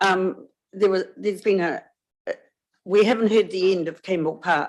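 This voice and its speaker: A woman speaks with a New Zealand accent. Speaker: public submitter. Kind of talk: public hearing submission. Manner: loud.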